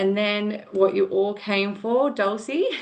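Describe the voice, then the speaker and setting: A woman's medium-pitched voice with an Australian accent, a fairly slow pace and ordinary pitch variation, with audible room echo. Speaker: nurse educator. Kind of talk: online lecture. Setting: video call.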